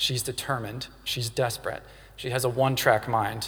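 With a Southern US accent, a man speaks at a medium pitch in a bright, sharp tone. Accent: Southern American. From US South, Louisiana. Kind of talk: sermon.

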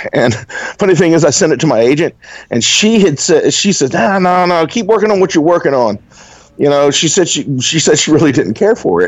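With a Southern US accent, a man talks at a fairly quick pace in a fairly high voice. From Alabama, US South. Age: 40s. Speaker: fantasy author. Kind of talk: casual interview chat.

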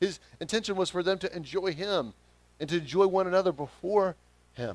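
A high-pitched man speaks with a Southern US accent at a moderate pace. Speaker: pastor. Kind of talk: sermon.

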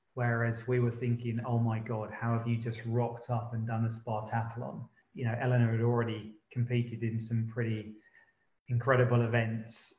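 A somewhat breathy man talks at a moderate pace. His pitch is medium and his intonation monotone and flat. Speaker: podcast host. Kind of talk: casual chat.

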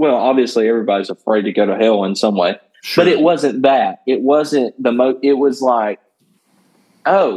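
Using a Southern US accent, a man speaks at a moderate pace and medium pitch with lively intonation. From Northwest Georgia. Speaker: country worship artist and worship leader. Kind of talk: casual interview.

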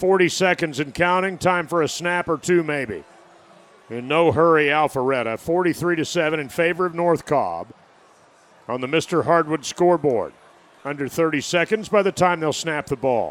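A man with a normal speaking voice talks at a moderate pace. His fairly high pitch shows ordinary variation. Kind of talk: live sports commentary.

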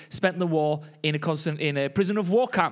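A man talks with a Welsh accent. His pitch variation is ordinary. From Wales. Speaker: pastor. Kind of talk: sermon.

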